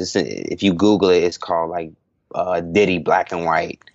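This man has a very deep, low voice with ordinary pitch variation. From Hawaii. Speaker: entrepreneur, comedy website founder. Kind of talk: casual interview chat.

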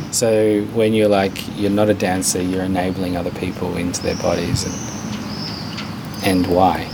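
A man's very deep, low voice, fairly slow and monotone and flat, with noticeable background noise. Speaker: radio host. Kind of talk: interview. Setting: studio.

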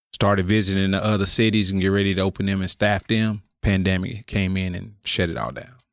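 Fairly quick and with hardly any pauses, a man with an unremarkable speaking voice talks at a fairly low pitch with fairly even intonation, the sound dry and close with no echo on a very clean recording with a silent background. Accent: American. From Oklahoma City, US. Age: 50s. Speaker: restaurant co-owner and music manager. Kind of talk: casual interview chat. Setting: studio.

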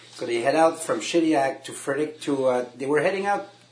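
A man at a moderate pace, ordinary pitch variation, noticeable background noise behind him. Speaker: geocacher guest. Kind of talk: casual chat.

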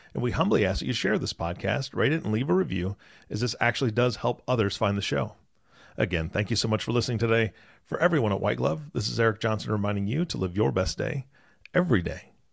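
A man's fairly low, fry-edged voice with very wide pitch swings at a very fast pace, on a very clean recording with a silent background. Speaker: co-host, podcast announcer. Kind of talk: casual chat and show intro/outro.

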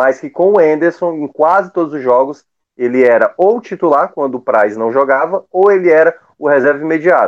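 A man talks at a fairly quick pace in a fairly high pitch with ordinary pitch variation and a plain, everyday voice. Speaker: sports podcast panelist. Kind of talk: casual sports analysis.

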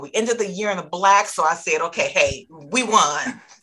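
A woman with an unremarkable speaking voice talks at medium pitch with ordinary pitch variation. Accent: American. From Michigan, US. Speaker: distributor company founder. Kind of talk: casual interview.

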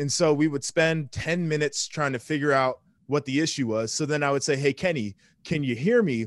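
A normal speaking voice from a man, fairly high in pitch, with ordinary pitch variation and a dry, close sound with no echo. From Columbus, Ohio, US Midwest. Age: 20s. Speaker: former football player and TV analyst. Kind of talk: casual chat. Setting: video call.

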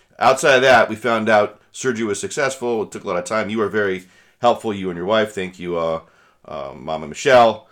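In a very clean recording with a silent background, a man speaks at a fairly quick pace in an ordinary speaking voice, fairly low in pitch with ordinary pitch variation. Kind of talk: casual chat.

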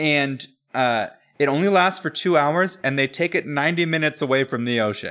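A man speaks at a fairly high pitch with a bright, sharp tone. The recording is very clean, with a silent background. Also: ordinary pitch variation, fairly quick pace. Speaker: podcast co-host. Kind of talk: casual chat.

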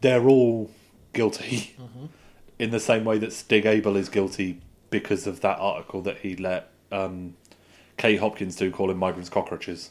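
Recorded very cleanly against a silent background, a man speaks in a plain, everyday voice at a fairly low pitch with fairly even intonation. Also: moderate pace. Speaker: podcast co-host. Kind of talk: casual chat podcast.

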